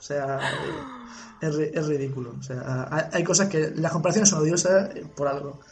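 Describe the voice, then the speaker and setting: A man speaks at a moderate pace in a fairly high pitch, with ordinary pitch variation and long, frequent pauses. The room echoes audibly, and background noise is noticeable. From Spain, Cartagena (Murcia). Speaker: podcast co-host. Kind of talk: casual chat.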